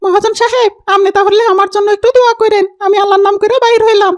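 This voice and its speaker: A cartoonish character voice with extremely high pitch speaks at a fairly quick pace. Its intonation stays monotone and flat. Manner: deferential, colloquial.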